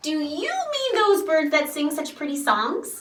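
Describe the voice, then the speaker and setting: Loud and squeaky, a woman puts on a character voice pitched high, speaking at a fairly slow pace. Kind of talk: picture book read-aloud to children. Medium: read story. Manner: loud, hearty, playful.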